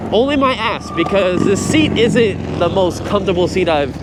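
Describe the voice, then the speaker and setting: Through audible room echo and noticeable background noise, a man speaks very slowly at a high pitch. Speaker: e-bike reviewer. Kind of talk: vlog while riding. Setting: outdoors on a bike. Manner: loud.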